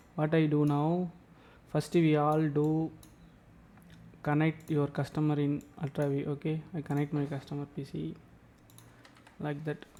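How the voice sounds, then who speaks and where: In a non-native accent, the speaker goes at a fairly slow pace with monotone, flat intonation and long, frequent pauses. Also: man, fairly high pitch for a man. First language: not English. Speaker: tech tutorial youtuber. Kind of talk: tutorial. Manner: halting, repetitive.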